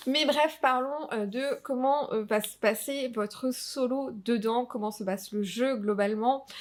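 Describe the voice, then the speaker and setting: A woman speaks very slowly at a high pitch, with ordinary pitch variation. She leaves hardly any pauses. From Alsace, France. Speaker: tabletop RPG youtuber. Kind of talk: casual review vlog. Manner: hesitant, many fillers.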